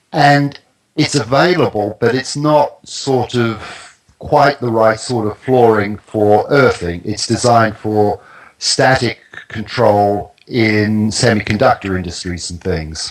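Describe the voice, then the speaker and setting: At a very slow pace, a man with a New Zealand accent speaks at a medium pitch with ordinary pitch variation. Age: 60s. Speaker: naturopath and grounding product expert. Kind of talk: interview. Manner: halting.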